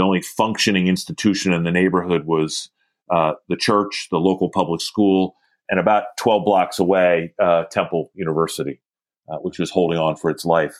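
A man with a very deep, low pitch speaks at a moderate pace with fairly even intonation. The sound is dry and close with no echo, on a very clean recording with a silent background. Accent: American. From Philadelphia. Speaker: community organizer. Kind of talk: interview.

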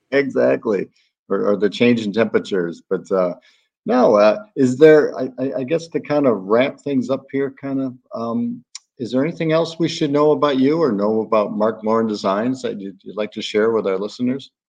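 A man with an American accent speaks in a normal speaking voice at a medium pitch and moderate pace, with ordinary pitch variation. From Chicago, US Midwest. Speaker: podcast host. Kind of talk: interview.

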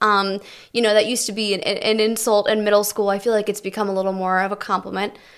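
In a very clean recording with a silent background, a woman speaks very fast at a medium pitch, her intonation monotone and flat. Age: 20s. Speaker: TV news reporter. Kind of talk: casual chat.

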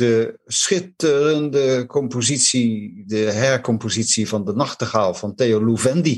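A man talks at a medium pitch with ordinary pitch variation. He leaves hardly any pauses. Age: old. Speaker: jazz enthusiast, TV maker. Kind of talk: casual interview. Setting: video call.

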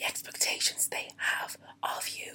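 The voice is a whisper. There is noticeable background noise. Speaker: motivational vlogger. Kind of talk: motivational talk. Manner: whispering.

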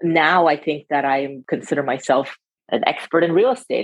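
A woman is speaking. She has an American accent. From California, San Francisco Bay Area. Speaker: investment firm partner. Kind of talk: interview.

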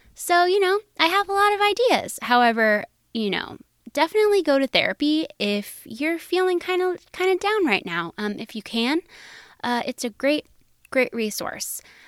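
Recorded dry and close with no echo, a woman speaks at an extremely high pitch with very wide pitch swings. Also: moderate pace. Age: 30s. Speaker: podcast host. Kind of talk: solo casual monologue. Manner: casual with frequent fillers.

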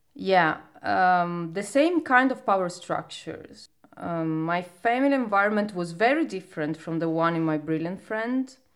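Speaking in a Sicilian accent at a moderate pace, a woman uses a medium pitch and lively intonation, captured on a very clean recording with a silent background. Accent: Italian (Sicilian). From Sicily, Italy (province of Palermo). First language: Italian. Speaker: poet. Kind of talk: casual chat.

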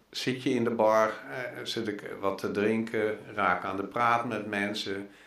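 A very slow, monotone, flat delivery with audible room echo. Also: man, fairly low pitch for a man. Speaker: pilgrim and long-distance walker. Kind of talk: interview. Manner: halting.

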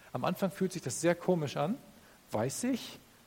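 A man's high voice swings very widely in pitch as he talks at a moderate speed. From northern Germany. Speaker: pastor. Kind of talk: sermon.

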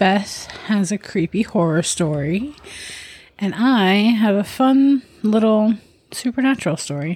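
A woman with a medium pitch talks at a fairly slow pace in an upbeat tone. Her intonation is lively and her voice somewhat breathy. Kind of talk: ghost story telling, told as a casual narrated account. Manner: chatty, upbeat, laughing.

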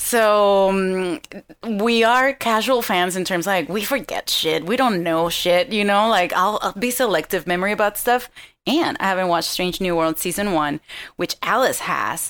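A woman with a Venezuelan accent speaks at a moderate pace and a medium pitch, with ordinary pitch variation. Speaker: comedian, actress and podcaster. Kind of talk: casual chat on live call-in show.

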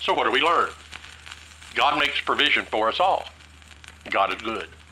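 A man in an American accent talks at a moderate pace, with noticeable background noise present. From Tennessee. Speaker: Bible teacher. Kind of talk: Bible study teaching.

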